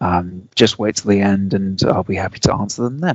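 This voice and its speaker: A man's fairly low voice with a British accent, ordinary pitch variation and a fairly quick pace. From UK. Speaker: software engineer. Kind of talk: technical presentation.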